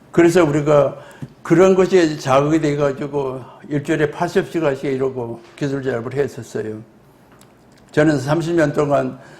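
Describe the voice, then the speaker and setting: A man with a fairly high voice is heard with audible echo from the room. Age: 80s+. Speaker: retired nuclear scientist, lecturer. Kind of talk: lecture.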